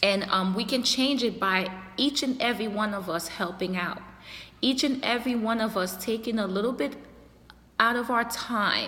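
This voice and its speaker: Amid audible room echo, a woman with a slight non-native accent and a fairly high pitch speaks at a fairly slow pace with ordinary pitch variation. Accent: slight foreign. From a developing country abroad. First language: not English. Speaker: youtuber and community activist. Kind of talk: casual monologue to camera. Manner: halting, many fillers.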